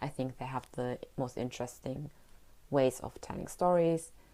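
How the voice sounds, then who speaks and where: Her voice is very deep and low, with a dark, mellow tone. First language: German. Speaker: podcaster. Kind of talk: casual monologue.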